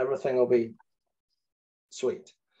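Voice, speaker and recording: The speaker is a man with a Scottish accent. He talks at a moderate pace. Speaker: property manager, panelist. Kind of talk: webinar panel discussion. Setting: online webinar.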